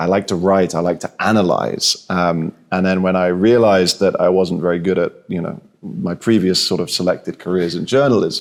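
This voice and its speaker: In a British accent, the voice moves at a moderate pace with fairly even intonation. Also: man, very deep, low pitch for a man. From southern England. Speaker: insurance executive. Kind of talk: interview. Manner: halting, many repeated words.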